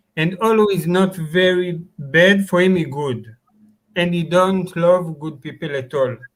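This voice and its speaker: A fairly slow voice with a non-native accent and ordinary pitch variation. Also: man, high pitch for a man. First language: not English. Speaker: live stream chat participant. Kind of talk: casual chat. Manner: halting.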